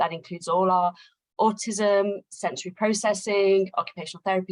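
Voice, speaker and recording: The speaker has a British accent and talks at a fairly quick pace. The sound is dry and close, with no echo. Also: woman. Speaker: occupational therapist, assessment company director. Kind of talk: webinar introduction. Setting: online webinar. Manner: hesitant with many fillers.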